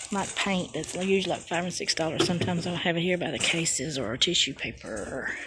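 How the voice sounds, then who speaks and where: The voice carries a Southern US accent. Its pitch varies in an ordinary way. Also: woman. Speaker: crafting vlogger. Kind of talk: casual walk-around vlog. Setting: in a store.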